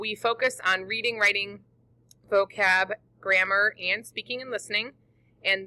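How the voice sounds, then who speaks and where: A woman with an American accent has a bright, sharp tone, recorded with a dry, close sound and no echo. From northern Illinois. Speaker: teacher. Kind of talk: recorded presentation.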